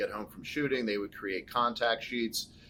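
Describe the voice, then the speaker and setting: A man with an American accent and an unremarkable speaking voice, at a medium pitch and a moderate pace. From California. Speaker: podcast host. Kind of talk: interview.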